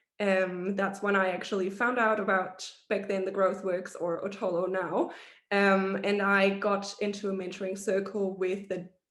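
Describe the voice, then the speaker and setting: A woman at medium pitch with monotone, flat intonation, a fairly slow pace and audible room echo. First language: not English. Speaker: hospitality professional, mentee. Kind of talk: panel presentation on video call. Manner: halting, many fillers.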